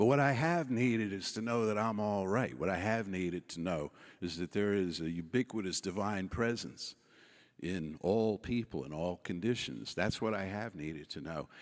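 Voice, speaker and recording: With an American accent and lively intonation, a man of fairly low pitch talks at a moderate pace in an unremarkable speaking voice, recorded very cleanly against a silent background. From New York City. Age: 60s. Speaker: keynote speaker, minister. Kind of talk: keynote speech.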